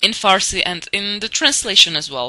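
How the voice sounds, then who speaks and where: Her tone bright and sharp, a woman talks at a moderate pace with a non-native accent. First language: not English. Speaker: TV show reviewer. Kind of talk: casual monologue review. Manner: hesitant, many fillers.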